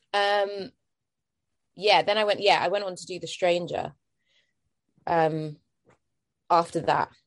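With a London accent, a woman speaks at a fairly low pitch and a fairly slow pace, with fairly even intonation, big swings in loudness and long, frequent pauses. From East London, England. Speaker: actress. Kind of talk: casual interview. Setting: video call.

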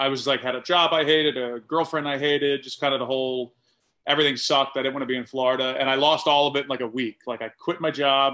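With an American accent, a man speaks in a normal speaking voice. His pitch is medium and his intonation fairly even. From Atlanta, Georgia (US South). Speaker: comedian and cook. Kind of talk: casual interview chat.

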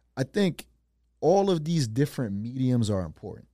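The man's medium-pitched, dark and mellow voice swings very widely in pitch at a moderate pace, recorded dry and close with no echo. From Providence, Rhode Island. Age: 30s. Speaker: DJ and event promoter. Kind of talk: casual chat.

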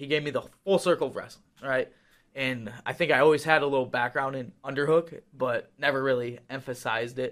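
The intonation stays fairly even. Delivery comes at a fairly quick pace. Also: man. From Wisconsin. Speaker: college wrestler. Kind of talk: casual chat. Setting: studio. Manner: fast talker.

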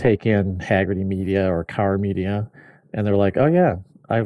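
This is an unremarkable speaking voice with an American accent. It moves at a moderate pace. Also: man. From US Midwest, mid Michigan. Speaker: automotive media editor. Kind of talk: casual chat.

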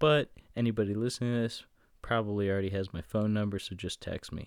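A man talks in a plain, everyday voice, fairly low in pitch with ordinary variation. The recording is very clean and the background silent. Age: 20s. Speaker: podcast host and law student. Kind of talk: casual chat. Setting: studio.

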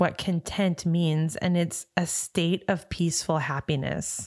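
In an unremarkable speaking voice, a woman talks at a fairly slow pace with a fairly low pitch. The recording is very clean with a silent background. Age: 40s. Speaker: podcast host's wife, new mother. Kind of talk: casual chat.

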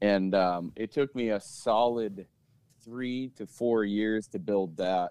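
Someone speaks at a very slow pace in an American accent, with ordinary pitch variation. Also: man. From South Dakota, US. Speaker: gym owner and podcaster. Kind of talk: casual chat. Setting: phone call.

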